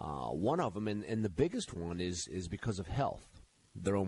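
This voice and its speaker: With vocal fry in his very deep, low voice, a man talks at a moderate pace using lively intonation. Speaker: financial radio talk show host. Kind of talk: call-in radio advice show. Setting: radio studio.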